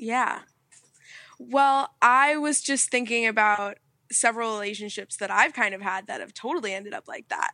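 An ordinary speaking voice from a woman, fairly high in pitch, at a moderate pace, with ordinary pitch variation and big swings in loudness. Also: very clean recording, silent background. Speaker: host's child, guest. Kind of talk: casual chat.

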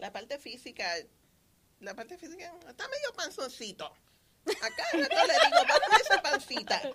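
A woman uses a raised, projected voice at a high pitch, with very wide pitch swings and big swings in loudness. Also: moderate pace. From Puerto Rico. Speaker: podcast co-host. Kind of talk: casual chat.

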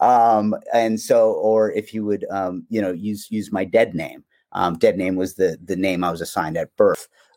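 Against a silent background on a very clean recording, a man talks at a moderate pace. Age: 30s. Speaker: transgender man in recovery. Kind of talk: podcast interview.

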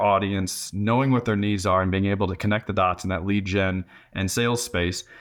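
A man with an unremarkable speaking voice, fairly low in pitch with ordinary pitch variation, talks at a fairly quick pace in a very clean recording with a silent background. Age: 40s. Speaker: business founder and consultant. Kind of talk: interview conversation.

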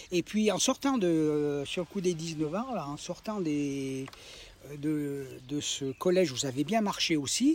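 This man talks at a very slow pace with a fairly high pitch. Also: lively intonation. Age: 70s. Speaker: retired vocational trainer. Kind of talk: life story interview. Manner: halting, many repetitions.

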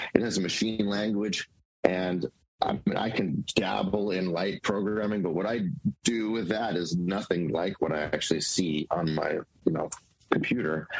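Ordinary pitch variation marks a normal speaking voice delivered at a moderate pace. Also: man, fairly low pitch for a man. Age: 40s. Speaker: life coach and artist. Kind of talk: casual conversation.

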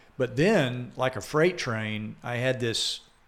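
A man with a slight Southern US accent speaks at a very slow pace and medium pitch, with ordinary pitch variation. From Georgia, US South. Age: 60s. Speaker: chaplain and church elder. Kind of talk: casual interview, personal testimony. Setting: studio.

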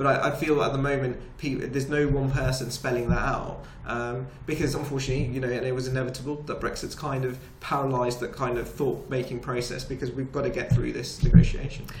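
A man talking at a very fast pace in a monotone, flat intonation, with audible room echo and noticeable background noise. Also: medium pitch for a man. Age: 30s. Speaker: chartered accountant, business chamber president. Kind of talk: interview.

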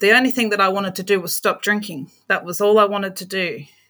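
Very clean, with a silent background, the recording captures a woman with an Australian accent. She speaks at a fairly quick pace in a medium pitch with a bright, sharp tone. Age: 40s. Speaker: aged care worker. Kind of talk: interview, personal testimony.

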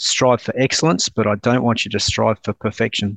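A man talks at a fairly quick pace with an Australian accent and a medium pitch. His intonation stays fairly even, and the sound is dry and close with no echo against a quiet background. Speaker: naval officer and defence project director. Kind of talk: casual chat.

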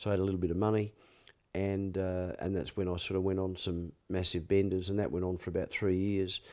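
On a very clean recording with a silent background, a man with an Australian accent speaks in a very deep, low pitch and a monotone, flat intonation. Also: fairly quick pace. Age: 60s. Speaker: former sports reporter and media figure in addiction recovery. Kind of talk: interview conversation with personal testimony. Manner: chatty, storytelling.

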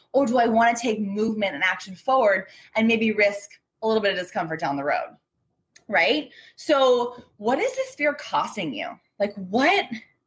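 A woman's animated tone and lively intonation at a moderate pace. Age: 30s. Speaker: business coach and podcast host. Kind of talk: recorded training / coaching talk. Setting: Facebook group live training.

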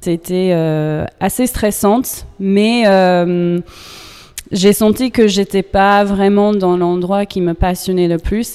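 Speaking very slowly, a woman with an American accent keeps a medium pitch and fairly even intonation. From US, New York. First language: English (speaking French). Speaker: yoga teacher. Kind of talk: interview. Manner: halting.

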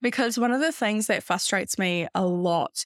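With a New Zealand accent and ordinary pitch variation, the voice comes through a very clean recording with a silent background and a dry, close sound with no echo. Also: woman. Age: 20s. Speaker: podcast host and business coach. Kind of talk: casual solo monologue.

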